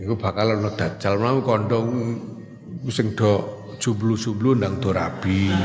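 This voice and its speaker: A man with a Javanese accent speaks very slowly in a fairly low, monotone, flat voice at very even loudness. Audible room echo and noticeable background noise fill the recording. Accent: Javanese-accented Indonesian. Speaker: Islamic teacher. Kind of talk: religious lecture.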